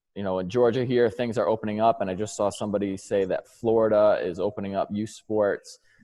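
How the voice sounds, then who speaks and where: With a New York accent, a man of fairly low pitch speaks very fast in a monotone, flat intonation, with hardly any pauses. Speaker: strength and conditioning coach. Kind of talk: presentation.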